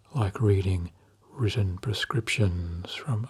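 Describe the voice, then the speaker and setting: Soft-spoken and calm in tone, a man talks at a fairly low pitch with a somewhat breathy quality and ordinary pitch variation. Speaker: hypnotherapist. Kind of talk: sleep hypnosis session. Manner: soft-spoken, calm; slow.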